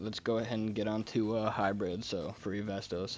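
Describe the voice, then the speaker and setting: With music playing behind him, a man speaks at a moderate pace in a fairly low pitch and a flat, monotone delivery. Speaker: gaming video creator. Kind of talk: gaming tutorial. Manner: halting, many fillers and self-corrections; casual.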